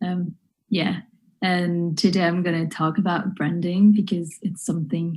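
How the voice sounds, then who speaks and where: A woman speaks at a fairly slow pace with a fairly low pitch. Her voice is somewhat breathy, and her intonation fairly even. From northwest France, near Nantes. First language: French. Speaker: wedding and family photographer. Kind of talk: online workshop talk. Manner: hesitant, many fillers.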